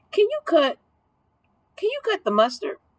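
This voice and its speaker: Putting on a squeaky character voice, a woman speaks at a moderate pace with very wide pitch swings in a dry, close sound with no echo. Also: extremely high pitch for a woman. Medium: read story. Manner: jovial.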